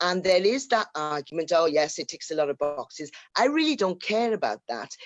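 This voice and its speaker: A fairly low-pitched woman's voice with a Welsh accent, very wide pitch swings and a fairly quick pace. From Wales, Cardiff. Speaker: call-in participant. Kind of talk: group discussion.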